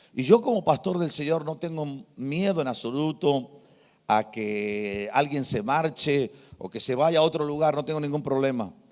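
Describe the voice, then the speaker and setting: In a very clean recording with a silent background, a man speaks at a moderate pace with lively intonation. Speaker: pastor. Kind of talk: sermon.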